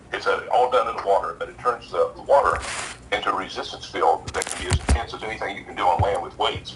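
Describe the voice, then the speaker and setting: A man speaks with big swings in loudness. Noticeable background noise runs behind him. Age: 70s. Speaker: inventor and nutrition expert. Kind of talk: interview. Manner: halting, many fillers.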